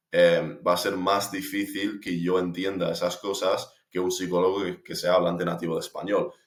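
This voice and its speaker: Hardly any pauses interrupt a man speaking at a moderate pace. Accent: English. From United States. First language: English (speaking Spanish). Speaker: language learner vlogger. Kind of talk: personal reflection monologue. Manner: hesitant, many fillers.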